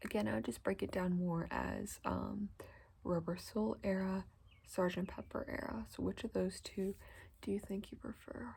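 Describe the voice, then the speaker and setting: Soft-spoken, this voice moves along at a moderate pace. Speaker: ASMR creator. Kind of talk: ASMR haircut role play, soft-spoken chat to the listener. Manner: soft-spoken, friendly, welcoming.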